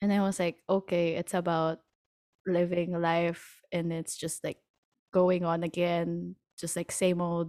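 A woman's dark, mellow voice, fairly low and fairly slow, monotone and flat, with a dry, close sound with no echo on a very clean recording with a silent background. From Philippines. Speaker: classical pianist and podcast co-host. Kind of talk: casual chat.

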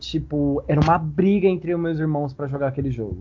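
A man talks with a normal speaking voice. His pitch is fairly high and varies in an ordinary way. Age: 20s. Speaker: game streamer. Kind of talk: casual chat.

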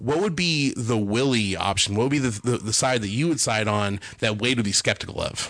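Animated in tone, a man talks at a medium pitch and a fairly quick pace with hardly any pauses. His loudness stays very even, and his pitch varies in an ordinary way. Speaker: cartoonist and animation director. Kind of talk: casual chat.

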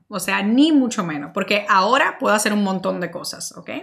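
A woman speaks in an animated tone. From Dominican Republic. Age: 30s. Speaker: marketing podcast host and entrepreneur. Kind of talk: solo Q&A monologue.

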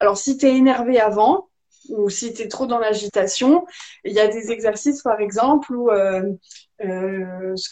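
Her pitch fairly high for a woman, she speaks with ordinary pitch variation. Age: 20s. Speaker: energy healer. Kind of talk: casual interview. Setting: video call.

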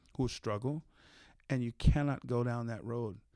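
Heard in a very clean recording with a silent background, a man with an American accent uses a normal speaking voice at a moderate pace. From San Jose, California. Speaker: formerly incarcerated reform advocate. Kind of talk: podcast interview.

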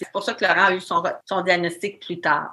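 With a Quebec accent, a woman speaks at a medium pitch in a bright, sharp tone on a very clean recording with a silent background. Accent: Québécois French. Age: 40s. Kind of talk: interview.

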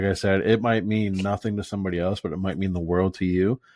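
A man with an American accent speaks at a moderate pace in a very deep, low pitch. His intonation stays fairly even over a quiet background. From Florida, Fort Myers/Naples area. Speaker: podcast host, door-to-door salesman. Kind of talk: casual chat.

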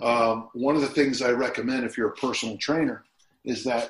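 In an American accent, a man with medium pitch speaks at a fairly quick pace in an ordinary speaking voice. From US, Utah. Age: 60s. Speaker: strength and conditioning coach. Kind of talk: casual interview.

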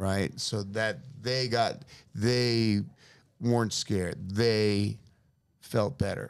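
Speaking in an American accent, a man talks with a fairly low pitch. His pace is very slow, with long, frequent pauses. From San Francisco, US. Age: 50s. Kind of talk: casual chat. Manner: animated.

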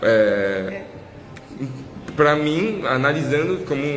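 Audible room echo surrounds a man's voice. Noticeable background noise is also present. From Brazil, Minas Gerais. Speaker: podcast host. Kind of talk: podcast interview.

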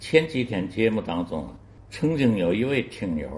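A man with vocal fry talks at a medium pitch, his pitch swinging very widely. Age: 80s+. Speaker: elderly listener-contributor sharing memories. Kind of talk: recorded storytelling reminiscence. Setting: self-recorded audio file sent to the show.

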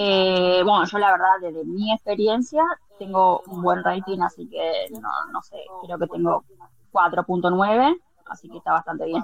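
Noticeable background noise sits behind a woman speaking at a fairly slow pace with medium pitch. Her loudness swings widely, while her pitch varies in an ordinary way. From Argentina. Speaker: house cleaner. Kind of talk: casual chat.

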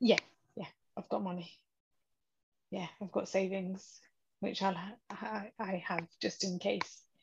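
With a monotone, flat delivery, a woman speaks at a fairly slow pace in a somewhat breathy, medium-pitched voice, leaving long, frequent pauses. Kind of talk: casual chat. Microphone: connection freezing.

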